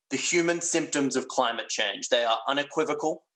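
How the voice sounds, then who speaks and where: A man speaks with an Australian accent. His pace is fairly quick. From Western Australia. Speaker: plenary lecturer, physician. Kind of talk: lecture. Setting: virtual congress. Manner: hesitant, with fillers.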